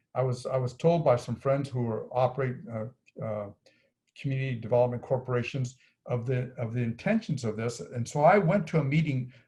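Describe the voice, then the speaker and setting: A man speaks somewhat breathily, fairly high in pitch. His tone is dark and mellow. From New Mexico. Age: 70s. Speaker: activist group leader. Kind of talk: interview. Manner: halting.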